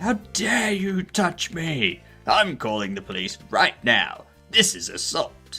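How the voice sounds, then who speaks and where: Faint music sits in the background as a man puts on a high-pitched character voice at a fairly slow pace. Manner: angry, outraged.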